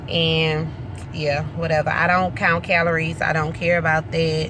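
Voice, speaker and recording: With a fairly slow pace and a very deep, low voice, the woman is heard amid audible room echo and noticeable background noise. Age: 20s. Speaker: weight loss vlogger. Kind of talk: casual vlog update.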